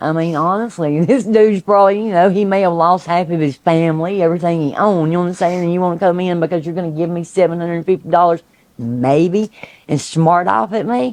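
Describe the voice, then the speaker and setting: A woman with a Southern Appalachian accent, animated in tone and very fast, with ordinary pitch variation. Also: fairly low pitch for a woman. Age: 60s. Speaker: hurricane survivor. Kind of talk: interview testimony.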